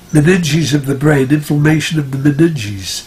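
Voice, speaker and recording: Over noticeable background noise, a man with an American accent speaks at a moderate pace in a fairly high pitch. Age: 90s. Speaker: retired doctor and natural health practitioner. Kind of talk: interview answer.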